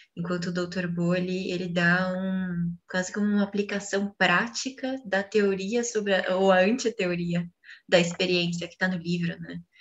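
A woman with a Brazilian accent speaks at a fairly slow pace, somewhat breathy, with fairly even intonation. The background is quiet. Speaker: co-teacher reading the text aloud. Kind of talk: reading aloud and commenting in a class. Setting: video call, poor connection. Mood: calm, reflective. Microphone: video call.

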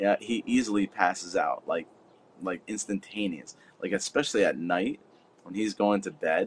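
Behind a moderate-paced male speaker there is light background noise. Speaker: livestreamer. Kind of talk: casual live stream chat. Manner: relaxed, friendly. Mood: amused, warm. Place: garden. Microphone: phone near.

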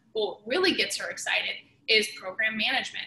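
At a fairly quick pace, a woman's voice carries audible room echo and light background noise. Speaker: podcast guest, sales leader. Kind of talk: interview answer. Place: home room. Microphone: video call.

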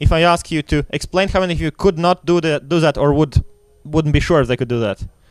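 An unremarkable speaking voice from a man, fairly high in pitch with ordinary pitch variation, dry with no echo against a quiet background. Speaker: security researcher and workshop instructor. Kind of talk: lecture. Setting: stage with audience. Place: tent.

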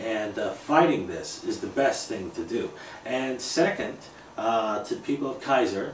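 With light background noise and audible room echo, a man talks at a very slow pace. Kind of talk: interview answer. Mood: earnest, frustrated. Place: home room. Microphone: camera far.

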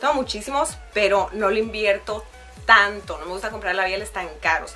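Faint music plays in the background as a woman speaks at a moderate pace with ordinary pitch variation. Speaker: beauty vlogger. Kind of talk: casual vlog chat, product review. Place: home room.

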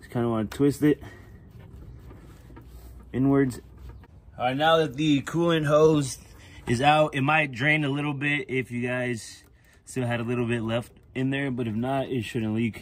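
Long, frequent pauses break up speech delivered at a moderate pace with fairly even intonation. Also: man. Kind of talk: tutorial. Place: street. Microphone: phone near.

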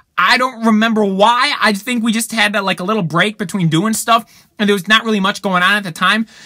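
A raised, projected voice with a bright, sharp tone at a fairly quick pace, over a quiet background. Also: man. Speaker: car show vlogger. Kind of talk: casual vlog chat. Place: car. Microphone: phone near.

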